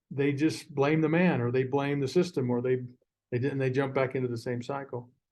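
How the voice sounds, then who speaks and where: Fairly quick, fairly even speech from a man at medium pitch. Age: 60s. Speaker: former prison education director and author. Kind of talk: podcast interview. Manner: halting, many repeated words.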